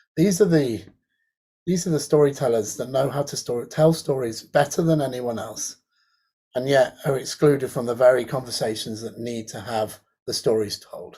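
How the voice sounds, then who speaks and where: A dark, mellow, somewhat breathy voice at a moderate pace, with ordinary pitch variation and big swings in loudness. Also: man, medium pitch for a man. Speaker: academic in creative technology and design. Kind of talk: online panel presentation.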